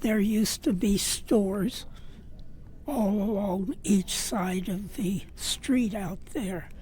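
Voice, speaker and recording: Somewhat breathy and dark, mellow in tone, a woman's medium-pitched voice moves at a very slow pace with ordinary pitch variation. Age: 90s. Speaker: rancher advocate, senior center regular. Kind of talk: interview.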